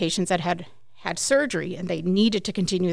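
A woman talks at a very fast pace with an American accent, medium pitch and vocal fry. The recording is very clean, with a silent background. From US, Mexican American family. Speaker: physical therapist and clinic owner. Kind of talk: interview. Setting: studio.

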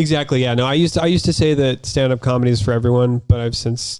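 A very fast man with an American accent, medium pitch and ordinary pitch variation. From US, Utah. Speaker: comedian. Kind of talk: casual chat.

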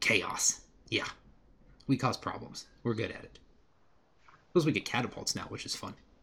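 In a raspy, put-on character voice, a man speaks at a medium pitch. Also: moderate pace. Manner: feisty, broken short sentences, cackling.

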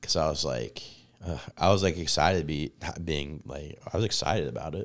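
A man speaks with a very deep, low pitch and ordinary pitch variation. Vocal fry runs through his voice. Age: 30s. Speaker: stand-up comedian. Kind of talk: casual chat.

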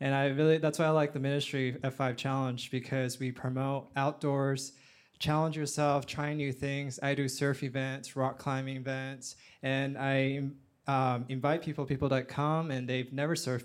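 A man's flat, monotone voice on a very clean recording with a silent background. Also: medium pitch for a man, moderate pace. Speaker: life coach. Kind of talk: panel discussion. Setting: stage with audience.

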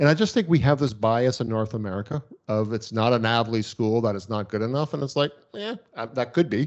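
A man with a Canadian accent talks at a fairly quick pace. He has a plain, everyday voice with ordinary pitch variation. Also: medium pitch for a man. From Canada. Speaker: veterinarian and practice owner. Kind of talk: interview.

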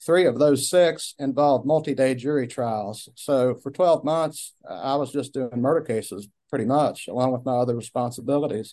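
A man with a dark, mellow tone speaks at a medium pitch. His pace is moderate and his pitch variation ordinary. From Southwest Virginia, Washington County. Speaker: county prosecutor running for re-election. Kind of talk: radio interview.

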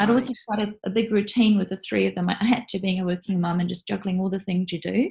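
A woman with a New Zealand accent, a very fast pace and a somewhat breathy voice. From New Zealand, North Island. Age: 40s. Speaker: freelance writer and cross-cultural trainer. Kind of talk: interview.

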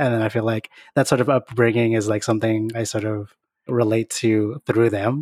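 Recorded very cleanly with a silent background, a man talks with an American accent. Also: dry, close sound with no echo. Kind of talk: casual podcast discussion.

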